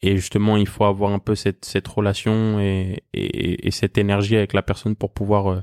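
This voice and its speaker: Over a very clean recording with a silent background, a man of fairly low pitch talks at a moderate pace in a flat monotone, hardly pausing, with very even loudness and a dry, close sound with no echo. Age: 30s. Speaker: professional basketball player. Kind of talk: interview. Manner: hesitant, many fillers.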